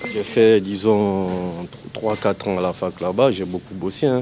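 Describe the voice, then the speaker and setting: Against noticeable background noise, a man speaks fairly low in pitch with fairly even intonation. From Guinea, Conakry. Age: 30s. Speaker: person experiencing homelessness. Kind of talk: personal testimony interview. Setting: public bath-house washroom.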